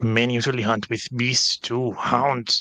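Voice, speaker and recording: A man does a put-on character voice at a medium pitch, speaking at a fairly slow pace. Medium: actual play. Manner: eager, scheming.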